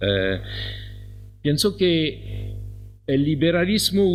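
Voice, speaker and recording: A man's fairly high voice with a non-native accent, audible room echo and music in the background. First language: French (speaking Spanish). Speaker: professor. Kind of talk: conference talk. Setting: conference hall.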